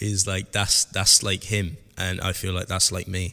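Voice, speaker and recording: On a very clean recording with a silent background, a man with a Southwest English accent speaks at a moderate pace in a very deep, low pitch. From Southwest England. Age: 30s. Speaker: podcast host, hairdressing educator. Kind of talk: solo podcast monologue.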